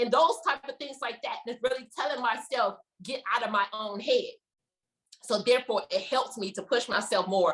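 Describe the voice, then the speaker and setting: Her tone is animated. The woman's pitch is high, with ordinary variation. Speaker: stroke survivor and fitness enthusiast. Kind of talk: personal testimony in a support group. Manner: fast.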